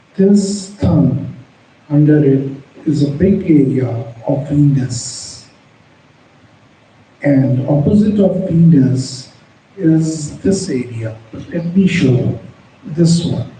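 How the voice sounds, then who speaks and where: The voice moves at a very slow pace with long, frequent pauses and ordinary pitch variation, heard with audible room echo and noticeable background noise. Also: man, fairly high pitch for a man. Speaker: palmistry teacher. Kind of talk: tutorial. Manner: halting, with pauses between words; unscripted.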